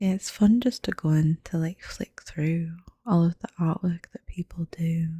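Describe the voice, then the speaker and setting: Soft-spoken and somewhat breathy, a woman talks at a moderate pace with a dark, mellow tone. Her fairly low voice has ordinary pitch variation in a dry, close recording with no echo. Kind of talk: ASMR soft-spoken voiceover walkthrough. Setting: voiceover recorded over footage.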